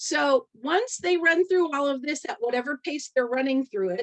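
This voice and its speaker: Her pitch high, a woman speaks with lively intonation. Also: quiet background. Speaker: direct sales team leader. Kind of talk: training presentation on a team call. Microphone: video call.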